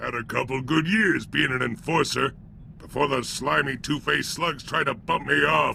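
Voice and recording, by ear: Man's put-on character voice at medium pitch, with vocal fry, a bright, sharp tone, ordinary pitch variation and a moderate pace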